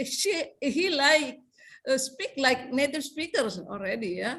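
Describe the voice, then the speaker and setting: Speaking in a South Sulawesi accent, a woman uses lively intonation and a high pitch. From South Sulawesi, Indonesia (Bugis). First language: Bugis. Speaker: English lecturer. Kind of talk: seminar discussion remarks. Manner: halting, many fillers.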